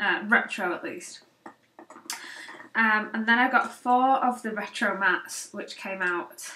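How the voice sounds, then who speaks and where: Speaking in a British accent at a fairly slow pace, a woman with a fairly high voice uses ordinary pitch variation, makes long, frequent pauses, and swings widely in loudness. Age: 20s. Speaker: beauty vlogger. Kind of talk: casual product haul. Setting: home office. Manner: hesitant, many fillers.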